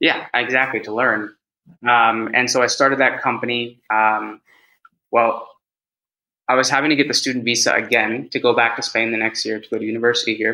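A medium-pitched man with a bright, sharp tone, fairly quick pace and monotone, flat intonation. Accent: American. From US, California (San Francisco Bay Area). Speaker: head of sales and public speaker. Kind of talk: casual interview.

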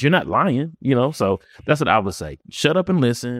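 In a very clean recording with a silent background and a dry, close sound with no echo, a man with a normal speaking voice and an American accent talks fairly quickly with lively intonation. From Memphis, Tennessee (US South). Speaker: real estate investor and wholesaler. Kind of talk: casual interview chat. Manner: casual, filler-heavy (um, you know what I'm saying).

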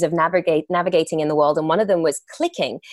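A woman with a fairly low pitch speaks in an English accent. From England. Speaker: actress and entrepreneur. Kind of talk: interview.

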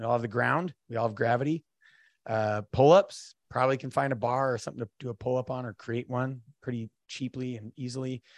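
An American man with an unremarkable speaking voice talks at a fairly quick pace, medium in pitch, his intonation fairly even. The sound is dry and close with no echo, over a quiet background. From North Idaho. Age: 40s. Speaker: Marine veteran and fatherhood speaker. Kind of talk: casual chat.

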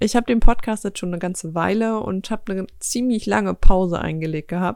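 The clip has an unremarkable speaking voice, with a woman at a medium pitch and ordinary pitch variation talking at a fairly quick pace on a very clean recording with a silent background. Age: 20s. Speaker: podcast host. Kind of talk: casual monologue. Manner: relaxed.

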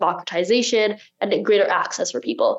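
This woman has an American accent. She speaks at a fairly quick pace. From United States. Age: 20s. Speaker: marketing executive and company co-founder. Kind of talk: interview. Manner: fast talker.

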